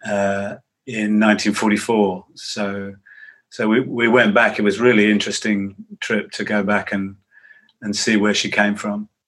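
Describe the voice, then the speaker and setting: A man with an English accent speaks in a fairly low, monotone voice with flat intonation, at a fairly slow pace. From England. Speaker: psychotherapist and author. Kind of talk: interview.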